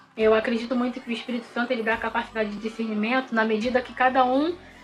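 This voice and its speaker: A woman's fairly high voice, very fast and flat in a monotone. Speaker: bible teacher. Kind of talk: bible study lesson. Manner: halting.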